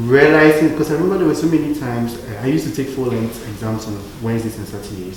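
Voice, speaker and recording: Noticeable background noise and audible room echo around very rapid talk with ordinary variation in pitch. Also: man. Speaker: medical school acceptee. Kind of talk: panel discussion. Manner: casual, many fillers.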